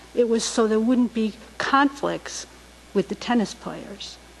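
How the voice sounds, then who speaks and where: Her voice sits at a fairly high pitch for a woman. Noticeable background noise can be heard around her. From Rhode Island, Barrington. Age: 60s. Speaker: resident speaking at public comment. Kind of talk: public comment at town council meeting. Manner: halting.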